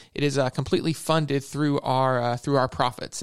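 At a fairly quick pace and medium pitch, a man speaks with fairly even intonation. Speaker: mortgage loan officer. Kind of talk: radio interview. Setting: studio. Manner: halting.

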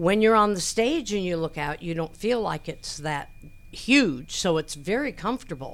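A woman speaks at a medium pitch and a moderate pace, her voice swinging very widely in pitch. The recording is very clean, with a silent background. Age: 70s. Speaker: theater managing director. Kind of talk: radio interview. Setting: studio.

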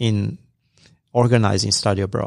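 A man with an unremarkable speaking voice, fairly low in pitch, at a moderate pace, on a very clean recording with a silent background. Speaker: professor and program co-director. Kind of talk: radio interview. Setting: studio.

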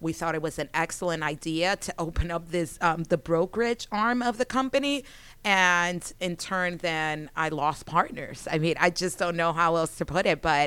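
A woman speaks at a fairly low pitch with a bright, sharp tone and ordinary pitch variation. She leaves hardly any pauses, on a very clean recording with a silent background. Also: moderate pace. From Miami. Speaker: real estate company founder. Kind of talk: interview. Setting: studio.

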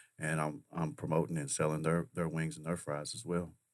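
Very deep, low male voice with vocal fry at a fairly quick pace, on a very clean recording with a silent background. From Kentucky. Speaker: sauce company owner and restaurateur. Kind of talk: radio interview. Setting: studio.

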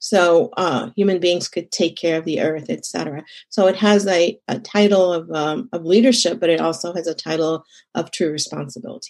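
A woman with an unremarkable speaking voice talks at a moderate pace and a fairly low pitch. Her pitch varies in an ordinary way over a quiet background. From Egypt, moved to Texas as a teenager. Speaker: consultant and community leader. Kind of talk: interview.

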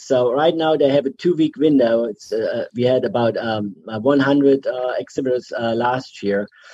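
A man speaks with a German accent and lively intonation. His background is quiet. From Germany. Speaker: chamber director of membership. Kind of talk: casual radio interview. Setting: video call.

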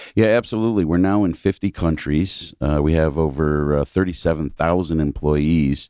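With an American accent, a man speaks at a moderate pace in a very deep, low pitch, his dark, mellow tone showing ordinary pitch variation and very even loudness. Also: hardly any pauses, quiet background. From New York State, near Binghamton. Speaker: company CEO. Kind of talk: radio interview. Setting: radio studio.

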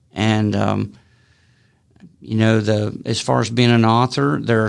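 A man speaking fairly slowly with a Southern US accent. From Alabama. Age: 60s. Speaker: author. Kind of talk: interview. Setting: studio. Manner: halting.

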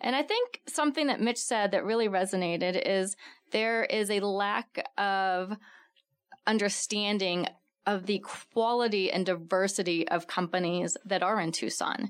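On a very clean recording with a silent background, a woman with an American accent speaks in a plain, everyday voice at a fairly slow pace, with very even loudness and ordinary pitch variation. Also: medium pitch for a woman. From Texas. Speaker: business chamber executive. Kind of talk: radio panel interview. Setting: studio.

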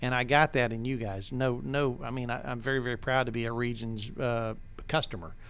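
In an Appalachian Georgia accent, a man of medium pitch talks fairly quickly with fairly even intonation as room echo is audible. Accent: Southern US (Appalachian Georgia). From North Georgia, Towns County. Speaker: business owner, loudspeaker manufacturer. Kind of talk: casual interview, storytelling.

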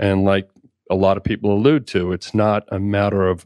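In a slight Boston accent, a man with a fairly low pitch speaks with fairly even intonation, the sound dry and close with no echo against a quiet background. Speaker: insurance agent. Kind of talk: radio interview. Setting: studio.

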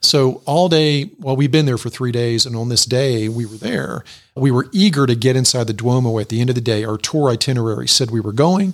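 Against a very clean, silent background, a man with a medium pitch and ordinary pitch variation talks at a fairly quick pace with hardly any pauses. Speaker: executive coach and author. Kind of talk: radio interview. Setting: studio. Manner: calm.

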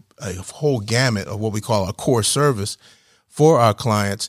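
A man with an American accent and an ordinary speaking voice talks at medium pitch and moderate pace with ordinary pitch variation, in a dry, close sound with no echo on a very clean recording with a silent background. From New Jersey, near Philadelphia. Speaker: IT business owner, Marine veteran. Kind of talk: radio interview. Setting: studio.

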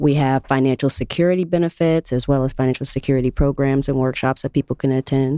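A woman speaks at a fairly quick pace in a very deep, low pitch. Her tone is dark and mellow, and the sound is dry and close with no echo. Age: 30s. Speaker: nonprofit outreach program specialist. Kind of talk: radio interview. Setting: studio.

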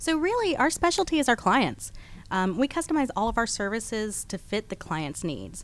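Her American accent carries vocal fry as the woman speaks at a moderate pace and fairly high pitch, with very wide pitch swings. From Texas and Georgia. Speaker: staffing branch manager. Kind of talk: radio interview. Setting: radio studio.

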